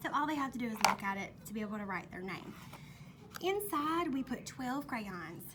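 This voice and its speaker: Amid noticeable background noise and audible room echo, a woman with a Mississippi accent talks at a fairly quick pace in a high pitch with very wide pitch swings. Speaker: kindergarten teacher. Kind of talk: classroom tour video. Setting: classroom. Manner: casual, conversational.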